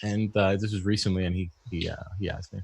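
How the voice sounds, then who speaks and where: On a very clean recording with a silent background, a man with a Canadian accent talks at a fairly quick pace in a fairly low voice with fairly even intonation. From Canada. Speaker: HVAC technician and business owner. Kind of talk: casual chat.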